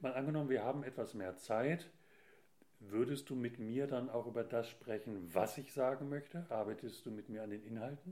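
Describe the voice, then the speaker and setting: At a moderate pace, a man talks in a dark, mellow tone at a medium pitch. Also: ordinary pitch variation. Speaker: podcast host. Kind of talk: casual interview.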